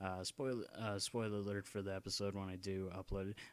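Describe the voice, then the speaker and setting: A soft-spoken man with a fairly low pitch talks at a fairly quick pace on a very clean recording with a silent background. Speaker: gaming YouTuber. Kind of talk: casual vlog ramble. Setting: home at night, dad sleeping. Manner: halting.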